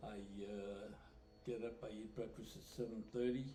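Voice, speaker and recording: Speaking at a moderate pace with an American accent, the voice comes through audible room echo. Music plays in the background. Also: man. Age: 90s. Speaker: retiree interviewee. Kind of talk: interview. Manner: halting.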